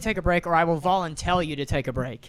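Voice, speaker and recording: A man talks loudly at a very fast pace. His intonation is lively. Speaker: podcast co-host and restaurant server. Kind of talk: casual chat.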